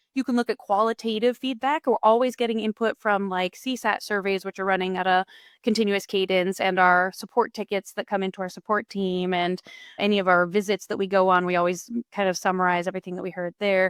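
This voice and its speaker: A woman at medium pitch and a fairly quick pace, fairly even intonation, in a dry, close sound with no echo on a very clean recording with a silent background. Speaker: head of product. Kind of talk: podcast interview. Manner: fast.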